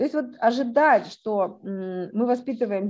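A woman's voice has a dark, mellow tone and a fairly high pitch with ordinary pitch variation. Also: quiet background. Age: 50s. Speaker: academic sociologist. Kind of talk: interview. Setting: studio.

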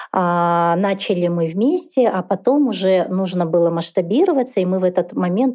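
Over a quiet background, a woman talks at a moderate pace in a medium pitch, her dark, mellow tone showing ordinary pitch variation. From Kazakhstan, Karaganda. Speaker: entrepreneur, founder of a dental clinic chain. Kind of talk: interview conversation.

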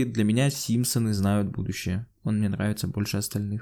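In a very clean recording with a silent background, a man speaks at a moderate pace in a dark, mellow tone. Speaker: podcast co-host. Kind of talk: casual chat.

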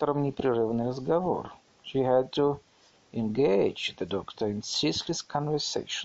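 Plain reading aloud comes through with ordinary pitch variation.

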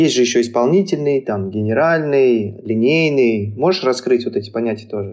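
With hardly any pauses, a man speaks at a moderate pace in a normal speaking voice, using a medium pitch and lively intonation. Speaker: podcast co-host, animator. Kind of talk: podcast interview.

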